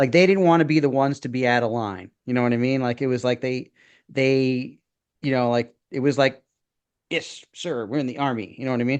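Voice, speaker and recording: The speaker talks with a Brooklyn accent at a fairly quick pace. The pitch varies in an ordinary way. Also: man, medium pitch for a man. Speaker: former public school teacher, podcast co-host. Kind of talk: casual chat. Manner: halting, many fillers and restarts.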